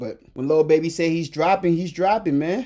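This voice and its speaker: A man with a dark, mellow tone at a moderate pace. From immigrant to the US. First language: not English. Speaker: podcast host. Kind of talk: casual solo commentary. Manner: animated.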